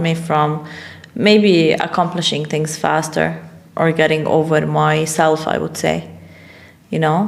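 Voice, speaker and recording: With noticeable background noise and audible room echo, a woman speaks at a fairly slow pace in a very deep, low voice. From Middle East. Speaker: life coach and businesswoman. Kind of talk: podcast interview. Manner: casual, hesitant with fillers.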